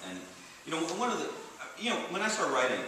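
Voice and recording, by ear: A man speaks with a bright, sharp tone. Audible room echo surrounds his voice.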